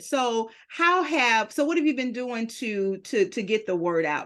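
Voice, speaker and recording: The woman's tone is animated. Nothing disturbs the quiet background. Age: 50s. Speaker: podcast host and publisher. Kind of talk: interview.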